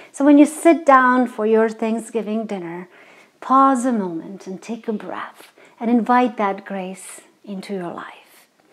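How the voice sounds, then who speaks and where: With a Croatian accent, a woman speaks at a fairly high pitch with ordinary pitch variation. Her loudness swings widely. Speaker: singer and web show host. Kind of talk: inspirational reflection; casual cooking show talk. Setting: home kitchen. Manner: halting, many fillers.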